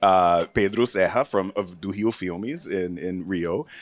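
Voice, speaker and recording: Recorded very cleanly against a silent background, a man with an American accent talks at a moderate pace. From US South, Florida. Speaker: panel moderator and film producer. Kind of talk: panel discussion. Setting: stage with audience. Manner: loud.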